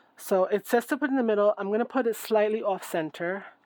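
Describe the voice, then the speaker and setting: Moderately paced speech from a woman, medium in pitch and ordinary in pitch variation. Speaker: craft YouTuber. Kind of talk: crafting tutorial. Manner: loud; casual, thinking aloud.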